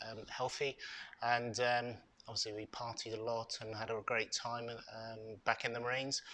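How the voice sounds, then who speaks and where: This man has a British accent and a medium pitch. His tone is bright and sharp. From UK. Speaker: ex-marine and charity co-founder. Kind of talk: interview. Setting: hotel venue podcast recording. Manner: hesitant, many fillers.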